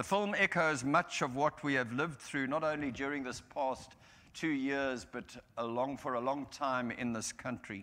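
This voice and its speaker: At a moderate pace, a man with a fairly high voice and a bright, sharp tone talks with ordinary pitch variation. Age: 70s. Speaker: minister. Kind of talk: sermon. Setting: church. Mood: solemn, reflective. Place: church.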